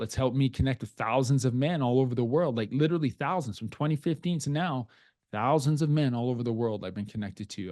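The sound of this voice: A man with a slightly mellow tone speaks at a fairly quick pace, his pitch varying in an ordinary way.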